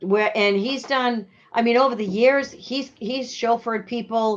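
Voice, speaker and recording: In a strong Boston accent, a woman talks at a fairly slow pace, her pitch fairly high and her intonation fairly even. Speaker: RV rental and sales business owner. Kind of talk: casual interview. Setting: Facebook live show.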